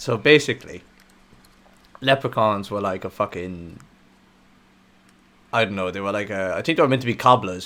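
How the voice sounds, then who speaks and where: Here a man with an Irish accent talks at a fairly quick pace with long, frequent pauses. His fairly low pitch has a bright, sharp tone and ordinary pitch variation. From Ireland. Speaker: podcast host. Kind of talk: casual podcast conversation.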